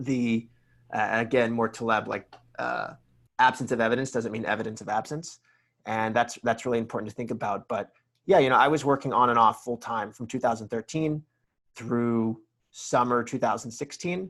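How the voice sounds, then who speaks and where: A man with an American accent has a plain, everyday voice at medium pitch, with fairly even intonation and a moderate pace. The recording is very clean, with a silent background. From US South, Atlanta. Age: 30s. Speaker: entrepreneur. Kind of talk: podcast interview.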